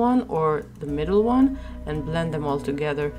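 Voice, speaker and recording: A woman's voice goes along at a moderate speed while music plays behind her. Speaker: artist. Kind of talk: drawing tutorial narration.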